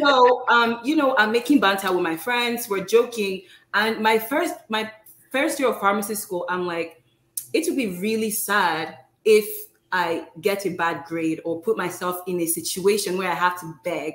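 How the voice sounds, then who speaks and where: Audible room echo surrounds a woman with a non-native accent speaking at a moderate pace with lively intonation. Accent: foreign-accented English. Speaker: pharmacist and postdoctoral fellow. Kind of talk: informal interview. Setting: live video stream. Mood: friendly, smiling. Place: home room.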